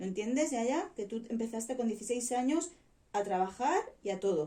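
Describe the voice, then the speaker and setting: This woman has a dark, mellow tone and a fairly high pitch. She speaks at a fairly slow pace with lively intonation. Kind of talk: story reading aloud.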